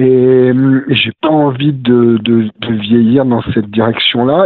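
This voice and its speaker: A man talks at a very slow pace. His pitch sits at a medium level. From Drôme, France (Romans-sur-Isère). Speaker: novelist. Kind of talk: interview. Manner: hesitant, many fillers.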